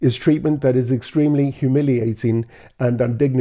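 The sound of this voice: The passage is read in an unforced reading voice.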